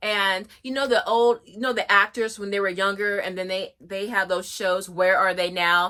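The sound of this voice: A woman's bright, sharp tone at medium pitch, with fairly even intonation and a moderate pace.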